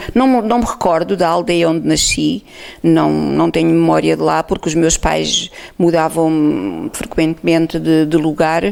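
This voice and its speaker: A woman speaks at a fairly slow pace. Her loudness stays very even. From Portugal, Alto Alentejo. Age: 60s. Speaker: oral history interviewee. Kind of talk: testimony. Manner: halting.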